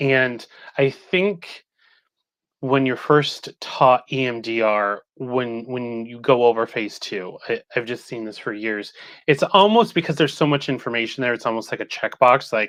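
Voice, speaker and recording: A man talks in a normal speaking voice of medium pitch with ordinary pitch variation. His pace is fairly slow, and the background is quiet. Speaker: couples therapist and EMDR trainer. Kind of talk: interview.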